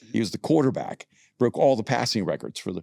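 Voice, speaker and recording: Speaking with an American accent, a man shows vocal fry and lively intonation. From El Salvador, raised in the US. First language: Spanish. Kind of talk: casual interview conversation. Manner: hesitant, many fillers.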